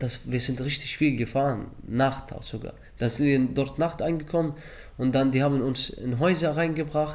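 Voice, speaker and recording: Audible room echo surrounds a man speaking at a moderate pace with a medium pitch. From Iraq, Baghdad. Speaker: refugee. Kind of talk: interview testimony. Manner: halting.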